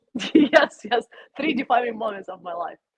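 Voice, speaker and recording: A woman with a Russian accent, very wide pitch swings, and a dry, close sound with no echo. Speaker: YouTuber. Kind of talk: personal interview. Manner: halting.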